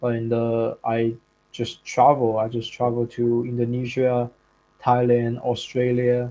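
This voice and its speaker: Speaking very slowly with a Chinese accent, a man keeps a medium pitch and monotone, flat intonation while music plays in the background. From China. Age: 20s. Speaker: content creator. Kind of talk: casual interview chat. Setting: live stream. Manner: casual, filler-heavy.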